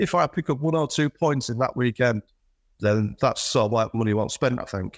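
A man's medium-pitched voice with a Yorkshire accent, moderate pace and ordinary pitch variation, dry and close with no echo. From Yorkshire, northern England (Selby). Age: 50s. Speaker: flooring business owner. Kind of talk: casual interview. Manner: halting, many fillers and repeats.

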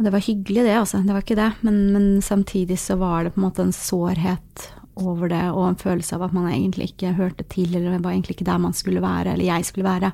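With hardly any pauses, a woman rushes along at a very fast pace in a dark, mellow, medium-pitched voice with monotone, flat intonation, on a very clean recording with a silent background. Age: 30s. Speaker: social work student and chat volunteer. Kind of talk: casual interview.

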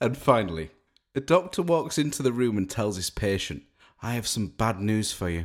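A man with a normal speaking voice, fairly low in pitch, at a moderate pace. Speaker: podcast co-host. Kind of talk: casual comedic chat. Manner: jokey, laughing.

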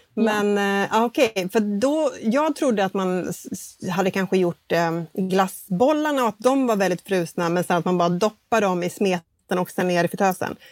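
This woman has an ordinary speaking voice, medium in pitch, moving at a moderate pace with lively intonation and hardly any pauses. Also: dry, close sound with no echo. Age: 40s. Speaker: baking podcast co-host. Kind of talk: casual chat. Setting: video call from home, sitting in bed.

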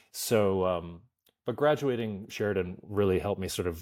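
A man speaks with a Canadian accent. The recording is very clean, with a silent background.

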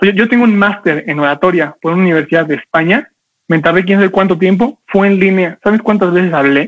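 A man with high pitch and ordinary pitch variation talks in an animated tone at a fairly quick pace, his loudness very even. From Mexico. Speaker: public speaking coach. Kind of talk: online class. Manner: fast.

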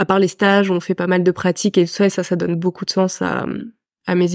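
In a very clean recording with a silent background and a dry, close sound with no echo, a woman speaks at medium pitch and a moderate pace with a dark, mellow tone and monotone, flat intonation. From France (raised abroad: Senegal, Peru, then France from age 11). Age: 20s. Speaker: physiotherapy student. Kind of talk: casual chat. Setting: in person with host.

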